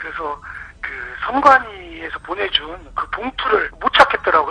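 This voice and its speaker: Noticeable background noise fills the recording. A man's speech moves at a moderate pace. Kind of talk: casual chat.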